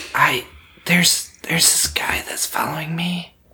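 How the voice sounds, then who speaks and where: A man whispers at a moderate pace, using a put-on character voice. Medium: actual play. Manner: hushed, whispering.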